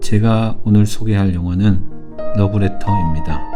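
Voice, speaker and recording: A man talks with music playing in the background. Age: 40s. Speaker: film commentator. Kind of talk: film commentary narration.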